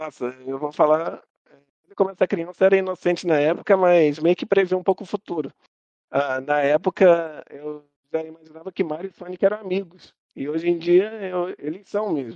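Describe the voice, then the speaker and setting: Man with a high pitch, a dark, mellow tone and a moderate pace. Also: ordinary pitch variation. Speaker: gaming YouTuber. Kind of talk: casual chat. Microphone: voice cutting out.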